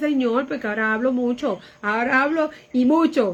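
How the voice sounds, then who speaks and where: The woman's voice is high in pitch, with ordinary pitch variation. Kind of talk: devout, testimonial. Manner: soft-spoken, not loud.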